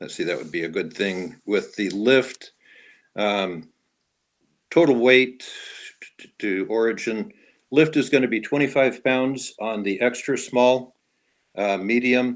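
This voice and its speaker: On a very clean recording with a silent background, a man speaks with long, frequent pauses, big swings in loudness, and ordinary pitch variation. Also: medium pitch for a man, fairly slow pace. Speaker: dive equipment presenter. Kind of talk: product presentation.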